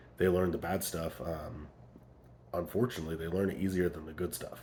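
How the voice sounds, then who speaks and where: The man's voice sits very deep and low, and he talks at a moderate pace. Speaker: parenting vlogger. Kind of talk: casual vlog monologue. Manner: volume trails off then gets loud again; hesitant, many fillers.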